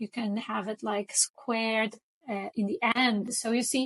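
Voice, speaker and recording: The speaker has a Portuguese accent and a somewhat breathy sound. The pace is fairly slow, with ordinary pitch variation. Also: woman. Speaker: design tutorial creator. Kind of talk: tutorial. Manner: casual, with frequent fillers.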